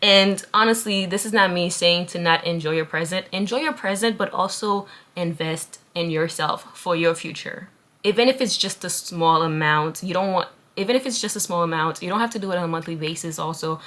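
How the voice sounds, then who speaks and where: A woman's fairly low voice in an American accent, at a fairly quick pace with ordinary pitch variation. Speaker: lifestyle YouTuber. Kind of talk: casual advice vlog. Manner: conversational, animated.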